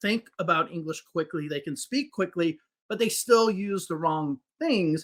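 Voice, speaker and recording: With a Chicago accent, a man speaks at a moderate pace in a high pitch, his tone bright and sharp. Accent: Chicago American English. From US Midwest, Chicago. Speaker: English teacher. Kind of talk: podcast interview.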